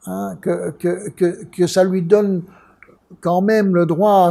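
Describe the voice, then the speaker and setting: Pitched high for a man, this male voice has a dark, mellow tone. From Belgium. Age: 70s. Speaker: art dealer. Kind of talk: interview storytelling. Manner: halting, many repetitions.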